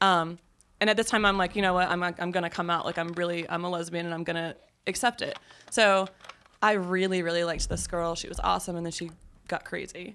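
A woman's bright, sharp, fairly low voice in a Southern US accent, monotone and flat, at a very fast pace. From US South. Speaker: podcast guest. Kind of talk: casual chat.

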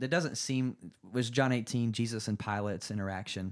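An ordinary speaking voice, a man with an American accent talks at a fairly quick pace and a medium pitch with ordinary pitch variation, in a very clean recording with a silent background. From North Carolina. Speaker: worship leader. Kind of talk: casual chat. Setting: home studio.

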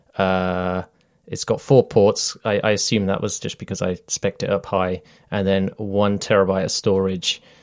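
The speaker has a British accent and a moderate pace. The intonation is monotone and flat, on a very clean recording with a silent background. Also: man, fairly low pitch for a man. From Britain. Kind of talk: casual chat.

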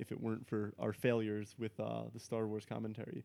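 A man with an American accent and a dark, mellow tone, talking at a very fast pace. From New Jersey. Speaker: podcast co-host. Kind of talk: casual chat. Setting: home recording setup.

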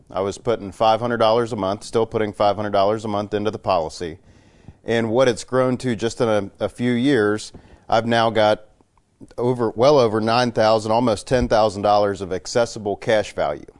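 This is an unremarkable speaking voice, a man at a fairly quick tempo. His intonation is fairly even, his pitch medium. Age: 20s. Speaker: life insurance policyholder. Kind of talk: radio interview.

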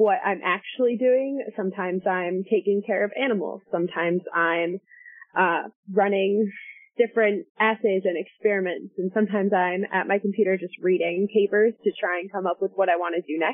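A woman talks at medium pitch and a moderate pace. Her intonation is fairly even. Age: 20s. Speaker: toxicology PhD candidate. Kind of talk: interview. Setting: podcast interview. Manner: hesitant, many fillers.

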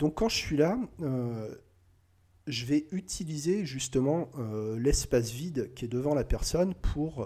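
Speaking at a very slow pace, a man has a fairly high pitch and a dark, mellow tone. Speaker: hypnotist. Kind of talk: tutorial; hypnotic induction demo. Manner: halting.

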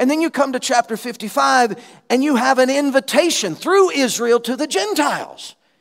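Speaking in a Southern US accent, a man uses an extremely high pitch and lively intonation at a moderate pace. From Alabama, US South. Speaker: missionary preacher. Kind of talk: sermon. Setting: church conference.

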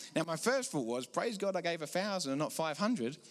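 A man's high voice in an English accent, very fast, with very wide pitch swings, on a very clean recording with a silent background. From England. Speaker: preacher. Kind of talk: sermon. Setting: church.

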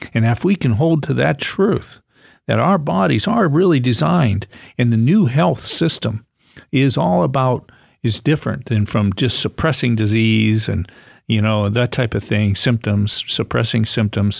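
On a very clean recording with a silent background, a man with an ordinary speaking voice talks at a moderate pace and medium pitch, with lively intonation and very even loudness. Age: 60s. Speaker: natural health doctor. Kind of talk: educational talk on radio show.

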